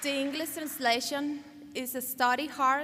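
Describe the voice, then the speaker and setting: In a raised, projected voice with a bright, sharp tone, a woman with a Cuban accent talks at a very slow pace with fairly even intonation. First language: Spanish. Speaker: law graduate, valedictorian. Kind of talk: commencement speech. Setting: podium at graduation ceremony.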